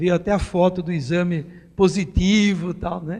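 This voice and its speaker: A man at a fairly slow pace with a high pitch and fairly even intonation. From Brazil, Itu (São Paulo state). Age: 60s. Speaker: business consultant and political speaker. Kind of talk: talk to a live audience.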